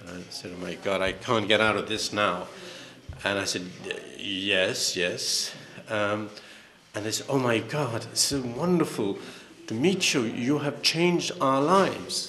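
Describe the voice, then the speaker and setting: A man's medium-pitched voice with lively intonation, a fairly slow pace and long, frequent pauses over noticeable background noise. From England. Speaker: author. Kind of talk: panel discussion. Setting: stage with audience.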